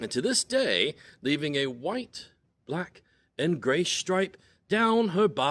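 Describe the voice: The speaker reads aloud plainly with lively intonation against a quiet background.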